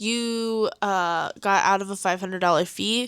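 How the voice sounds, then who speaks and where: A woman with a Coloradan accent. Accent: Coloradan, weak R's. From Colorado. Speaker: podcast co-host. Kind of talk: casual chat.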